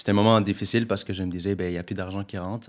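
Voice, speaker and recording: On a very clean recording with a silent background, a man with a fairly low pitch talks in a monotone, flat intonation. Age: 20s. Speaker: real estate investor. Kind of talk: interview. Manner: casual.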